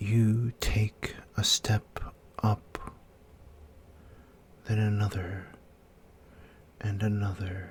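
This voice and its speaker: A soft-spoken voice with a gentle tone moves at a very slow pace, broken by long, frequent pauses. Noticeable background noise runs underneath. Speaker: ASMR storyteller. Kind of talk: guided fantasy sleep story. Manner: soft-spoken, gentle.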